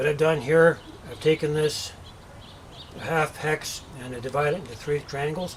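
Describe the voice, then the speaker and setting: Noticeable background noise surrounds the recording. A man talks at a moderate pace in a fairly high pitch. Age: 50s. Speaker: DIY builder. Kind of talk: tutorial. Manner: halting.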